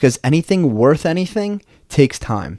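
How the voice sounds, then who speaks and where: A man with an American accent and a dark, mellow tone, speaking at a moderate pace with lively intonation, in a very clean, dry, close recording with a silent background and no echo. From New Jersey. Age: 20s. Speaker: podcast host. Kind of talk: solo podcast monologue. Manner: casual, with filler words.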